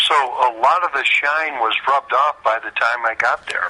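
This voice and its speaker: Over noticeable background noise, a man with an American accent talks at a moderate pace. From US Midwest, St. Louis. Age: 60s. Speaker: retired baseball pitcher. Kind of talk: interview.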